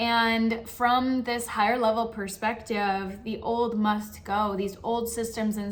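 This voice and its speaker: A woman's fairly high-pitched voice in monotone, flat intonation at a fairly slow pace, with audible room echo. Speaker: spiritual coach. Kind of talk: channel monologue.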